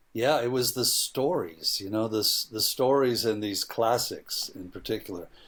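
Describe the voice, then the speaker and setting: In a normal speaking voice, a man talks at a moderate pace and medium pitch with ordinary pitch variation. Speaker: filmmaker. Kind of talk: interview conversation.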